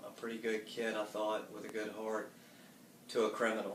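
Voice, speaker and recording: A man with a Southern US accent, a fairly low pitch and monotone, flat intonation, amid audible room echo and noticeable background noise. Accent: Southern US (Georgia). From US South, Marietta, Georgia. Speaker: church member giving testimony. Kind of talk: testimony.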